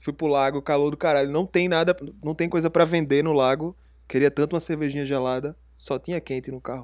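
A very fast pace with fairly even intonation, in a very clean recording over a silent background. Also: man, fairly high pitch for a man. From Recife, Pernambuco, Brazil. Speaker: podcast co-host. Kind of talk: casual chat.

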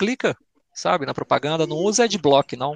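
Against a quiet background, a man with a Belo Horizonte accent speaks at a moderate pace, fairly high in pitch with lively intonation, the sound dry and close with no echo. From Belo Horizonte, Brazil. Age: 30s. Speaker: YouTube content creator and scale modeller. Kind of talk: casual chat.

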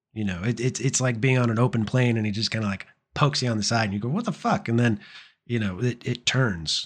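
Over a quiet background, a man at medium pitch speaks at a very fast pace. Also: ordinary pitch variation. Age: 30s. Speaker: podcast co-host. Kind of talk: casual chat. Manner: rambling.

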